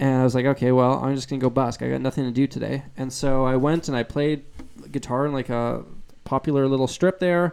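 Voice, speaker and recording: A man speaks at a medium pitch. He has a slight Canadian accent. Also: fairly even intonation, fairly quick pace. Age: 20s. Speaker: guitarist and YouTuber. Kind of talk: live stream Q&A chat. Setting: live stream. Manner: casual, relaxed.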